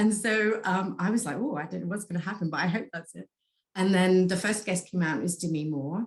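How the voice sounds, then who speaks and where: Somewhat breathy tones mark this woman's voice. She talks fairly quickly. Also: medium pitch for a woman, ordinary pitch variation. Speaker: Akashic Records reader. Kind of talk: casual interview chat.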